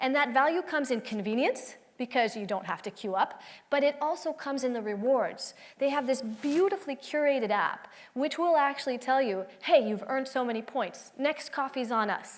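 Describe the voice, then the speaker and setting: A woman's high-pitched voice at a moderate pace with lively intonation. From France. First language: French. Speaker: tech company executive, conference speaker. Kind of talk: conference talk. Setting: stage with audience.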